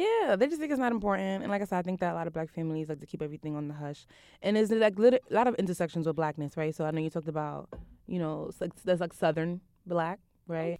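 In a Brooklyn accent, the voice races at a very fast pace with a dark, mellow tone. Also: woman, fairly low pitch for a woman, ordinary pitch variation. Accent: New York, Brooklyn. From Brooklyn, New York. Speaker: nonprofit program manager and activist. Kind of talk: casual chat. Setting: studio.

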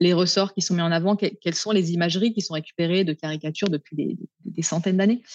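At a very fast pace, a somewhat breathy voice speaks with ordinary pitch variation, recorded with a dry, close sound, no echo and a quiet background. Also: woman. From France, Paris suburbs. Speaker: sociologist and feminist activist. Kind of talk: interview.

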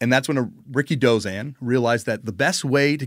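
The recording is very clean with a silent background. A man with an unremarkable speaking voice talks fairly quickly at a medium pitch with ordinary pitch variation. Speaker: musician and wrestling writer. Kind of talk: casual chat.

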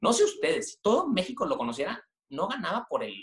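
A man at a fairly quick pace with a northern Mexican accent. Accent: northern Mexican (Monterrey). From northern Mexico, Monterrey. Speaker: media company director. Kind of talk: interview. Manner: halting, many repeated words.

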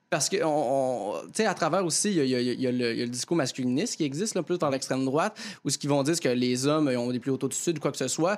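A man's fairly high voice, very fast and lively in intonation, at very even loudness. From Quebec, Lanaudière near Joliette. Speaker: comedian. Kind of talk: panel discussion.

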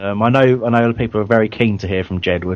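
With ordinary pitch variation, a man talks at a fast pace and a fairly low pitch.

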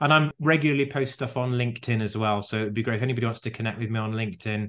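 Fairly even intonation carries a very fast delivery over a quiet background. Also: man. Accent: British. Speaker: leadership consultant. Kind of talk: interview.

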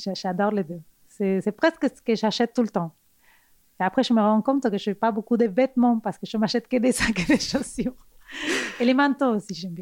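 On a very clean recording with a silent background and a dry, close sound with no echo, a woman with a Spanish accent speaks at a fairly high pitch and a fairly quick pace, with ordinary pitch variation and long, frequent pauses. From Argentina. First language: Spanish (speaking French). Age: 40s. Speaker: fashion designer. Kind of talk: casual interview. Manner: halting, with repetitions.

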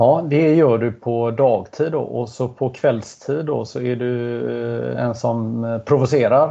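A man talks at a very slow pace, his medium pitch paired with fairly even intonation. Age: 50s. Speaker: sports podcast host. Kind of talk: casual interview chat.

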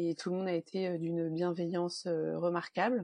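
At a fairly slow pace, a woman speaks in a fairly low, dark, mellow tone with monotone, flat intonation and a dry, close sound with no echo. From Normandy, France. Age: 30s. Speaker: perinatal support worker, bereaved mother. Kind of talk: interview testimony.

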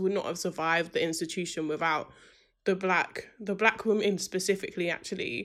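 A woman with a British accent speaks at a fairly quick pace in a medium pitch, on a very clean recording with a silent background. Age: 20s. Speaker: student union president. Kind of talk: interview.

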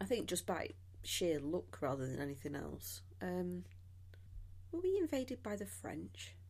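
A woman with a very deep, low voice and a somewhat breathy quality speaks fairly slowly. Her pitch swings very widely, and she leaves long, frequent pauses. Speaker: guest host, history podcaster. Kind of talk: casual chat. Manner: animated, jokey.

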